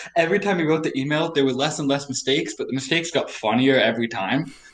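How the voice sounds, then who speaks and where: A man rattles off his words very fast, with noticeable background noise in the recording. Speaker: podcast guest. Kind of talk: casual chat. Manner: words run together.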